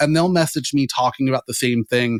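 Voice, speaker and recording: In a dry, close sound with no echo, a man with an American accent talks very fast with fairly even intonation. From Florida. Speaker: SEO lead. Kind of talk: podcast interview. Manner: loud.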